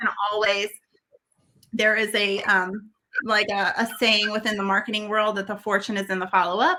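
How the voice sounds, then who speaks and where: This woman's voice sits at a fairly high pitch with fairly even intonation. Her speech has long, frequent pauses. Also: moderate pace. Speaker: podcast host, branding coach. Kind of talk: podcast interview host.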